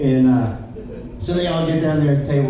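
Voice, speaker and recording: A man's voice carries audible room echo while noticeable background noise fills the recording. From Louisiana. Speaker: comedian. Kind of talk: stand-up.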